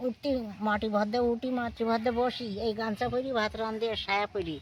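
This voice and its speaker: With noticeable background noise around her, a woman speaks in a fairly high voice with fairly even intonation. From India–Bangladesh border village, Bengal. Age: 80s+. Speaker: elderly widow living alone. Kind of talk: interview answer.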